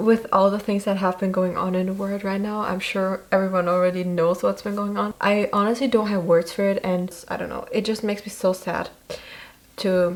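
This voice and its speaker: Against noticeable background noise, a woman talks at a medium pitch and a moderate pace. Her intonation is monotone and flat. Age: 20s. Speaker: YouTuber, university student. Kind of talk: casual vlog talk to camera. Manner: casual, reading from notes at times.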